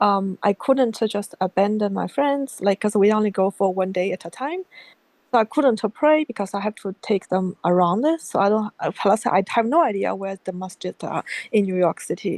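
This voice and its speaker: A woman speaks at a moderate pace with a Chinese accent. Her pitch varies in an ordinary way. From China. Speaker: convert asking for advice. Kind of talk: casual chat. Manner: halting.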